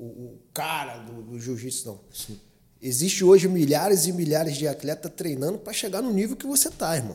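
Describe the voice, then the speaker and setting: Somewhat breathy and dark and mellow in tone, a man's fairly high voice moves with lively intonation. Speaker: podcast host. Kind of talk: interview.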